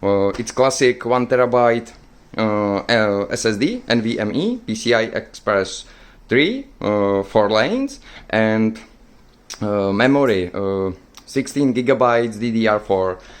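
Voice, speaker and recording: A man's medium-pitched voice moves fairly slowly, its intonation fairly even. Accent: Czech. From Czech Republic. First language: Czech. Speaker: tech YouTuber. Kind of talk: product showcase. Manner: halting, many fillers.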